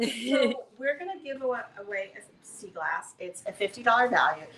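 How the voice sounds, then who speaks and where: Amid light background noise and audible room echo, a woman speaks with lively intonation. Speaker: craft studio owner hosting a live stream. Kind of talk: casual live-stream intro chat. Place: workshop. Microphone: camera far.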